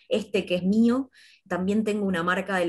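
Her voice is somewhat breathy and medium in pitch for a woman, moving at a moderate pace. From Argentina, Campana, Buenos Aires province. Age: 30s. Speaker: fashion designer and university lecturer. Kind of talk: panel discussion.

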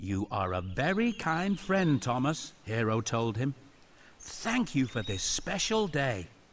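The speaker uses a natural reading voice. That natural reading voice holds from start to finish.

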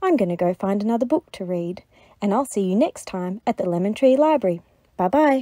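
Lively intonation in plain reading aloud

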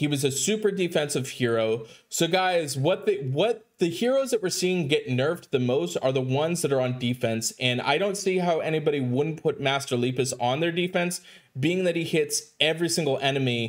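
A man speaks at a moderate pace with lively intonation. The background is quiet. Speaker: mobile game content creator. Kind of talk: gaming commentary. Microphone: headset.

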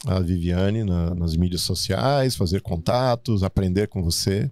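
The man's pitch is very deep and low, with ordinary variation, at a fairly slow pace and very even loudness. The sound is dry with no echo, and the background is quiet. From Brazil, Rio Grande do Sul. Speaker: podcast host. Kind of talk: interview. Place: studio. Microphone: studio mic.

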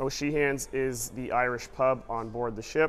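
Music plays in the background as a man of medium pitch talks at a fairly slow pace. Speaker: travel vlogger giving a cruise ship tour. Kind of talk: walking guided tour narration of restaurants, informal and descriptive. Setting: on location aboard a cruise ship, walking. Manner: upbeat, enthusiastic, with frequent filler 'uh' while describing; friendly direct address to viewers, casual run-on flow.

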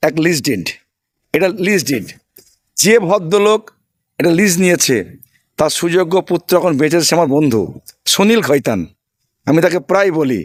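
High-pitched, a man speaks with lively intonation. His loudness stays very even throughout. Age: 50s. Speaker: election candidate, former police officer. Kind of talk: interview. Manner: emphatic.

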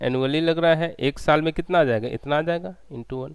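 Against a quiet background, a man's voice comes through dry, with no echo. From India. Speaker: engineering exam tutor; online exam-prep teacher. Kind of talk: online lecture. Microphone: headset.

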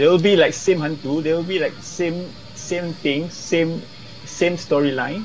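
A man with a Malaysian accent and a high pitch for a man, at a fairly slow pace with fairly even intonation, faint music in the background. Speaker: film director; interviewee. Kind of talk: interview. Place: home room. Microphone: earbuds.

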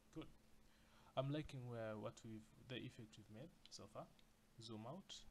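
Medium in pitch, a man's voice comes through somewhat breathy. Long pauses break up his speech often. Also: ordinary pitch variation, fairly slow pace. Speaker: design tutorial creator. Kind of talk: tutorial. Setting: screen recording at a computer. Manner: excitable.

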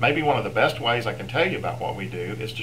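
Light background noise sits behind a man. He speaks at a very fast pace. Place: office. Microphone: webcam.

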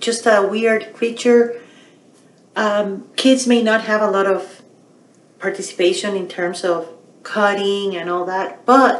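A woman speaks at a very slow pace with long, frequent pauses and fairly even intonation. Audible room echo surrounds her voice. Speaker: teacher or educator. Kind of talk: tutorial. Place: home room. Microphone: webcam.

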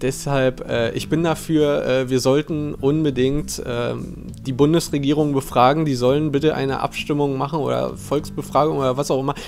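A man at a moderate pace with fairly even intonation, clear music in the background. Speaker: streamer. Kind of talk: casual live-stream commentary. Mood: relaxed, joking. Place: home room. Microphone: earbuds.

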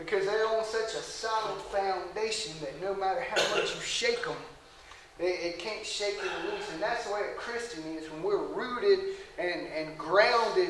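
A man's voice carries audible room echo. Light background noise sits underneath. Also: fairly slow pace. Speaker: preacher or Bible study leader. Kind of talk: sermon. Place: church. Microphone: camera far.

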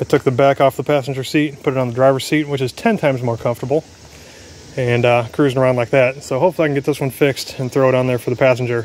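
The speech comes at a very fast pace, with a dry sound that has no echo and light background noise. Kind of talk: casual DIY narration. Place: street. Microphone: phone near.

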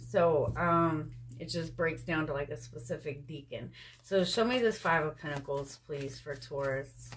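A woman with a very deep, low voice and vocal fry speaks at a moderate pace with lively intonation over light background noise. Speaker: tarot reader. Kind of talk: tarot reading commentary. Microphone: phone near.

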